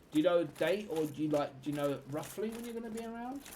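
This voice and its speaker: A man's fairly high voice with lively intonation at a fairly quick pace, over noticeable background noise. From London, England. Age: 30s. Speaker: gaming streamer. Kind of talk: live gameplay stream chat. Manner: casual, chatty.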